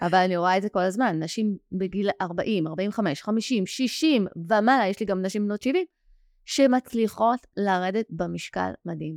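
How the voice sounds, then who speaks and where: In a plain, everyday voice, a woman speaks at a moderate pace with medium pitch and ordinary pitch variation, in a dry, close sound with no echo on a very clean recording with a silent background. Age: 40s. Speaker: weight-loss coach and podcast host. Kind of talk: interview.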